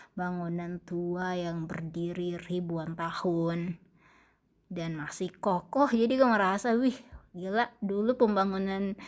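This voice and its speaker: Over a very clean recording with a silent background, a woman speaks at a very slow pace in a medium pitch. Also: ordinary pitch variation. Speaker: travel vlogger. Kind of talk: vlog narration. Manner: casual, halting.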